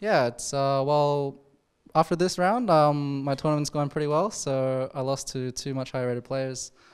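Over a quiet background, a man talks with an Australian accent. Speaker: chess player. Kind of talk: post-game interview. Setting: studio. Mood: relaxed, pleased. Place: hall. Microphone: handheld.

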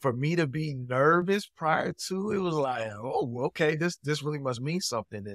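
In a quiet background with dry sound and no echo, a man speaks at a moderate pace with lively intonation and hardly any pauses. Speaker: podcast guest. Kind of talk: interview answer. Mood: upbeat, smiling. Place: home room. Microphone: video call.

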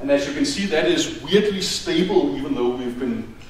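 Through audible room echo, a man with a Danish accent speaks with lively intonation at a fairly quick pace. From Denmark. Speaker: university department head. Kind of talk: welcome speech. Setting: stage with audience. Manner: casual and humorous, frequent laughs and filler words. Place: hall.

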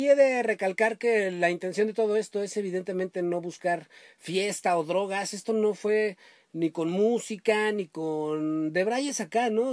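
A man's high-pitched voice at a fairly slow pace, with ordinary pitch variation, a dry sound with no echo and a quiet background. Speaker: podcast host. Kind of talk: casual podcast storytelling. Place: home room. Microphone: webcam.

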